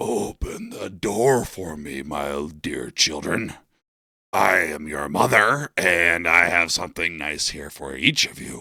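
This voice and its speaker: Putting on a character voice, a man speaks raspily at a fairly slow pace with a very deep, low pitch. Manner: deceptively sweet.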